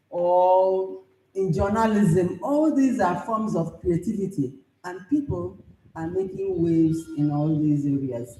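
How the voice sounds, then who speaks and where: A woman's fairly low voice with lively intonation and audible room echo. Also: fairly slow pace. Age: 70s. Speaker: professor and writer. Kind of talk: conference speech.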